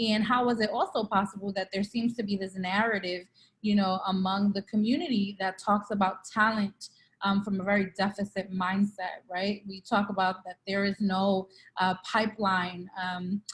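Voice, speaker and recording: Her intonation monotone and flat, a woman talks in a somewhat breathy way. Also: medium pitch for a woman, moderate pace. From Brooklyn, New York (East New York). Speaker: nonprofit CEO and co-founder. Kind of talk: interview.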